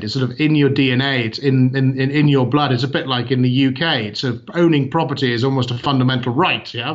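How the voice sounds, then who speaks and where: A British accent at a fairly quick pace, fairly even intonation, and audible room echo. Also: man. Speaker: company CEO. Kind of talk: interview. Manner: hesitant, many fillers.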